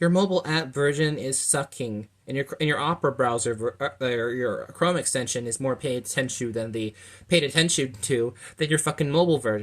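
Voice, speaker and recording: A man with a medium-pitched voice talks at a fairly quick pace in a very clean recording with a silent background. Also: ordinary pitch variation. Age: 20s. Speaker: consumer vlogger complaining about an app. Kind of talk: angry complaint rant to camera. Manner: fast, stumbling speech.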